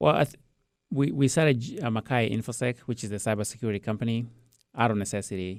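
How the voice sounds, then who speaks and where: A man with a Kenyan accent, medium-pitched, ordinary pitch variation, very fast delivery, on a very clean recording with a silent background. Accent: Kenyan accent, Queen's English. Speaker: IT business owner. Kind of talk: interview. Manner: repeats words, halting.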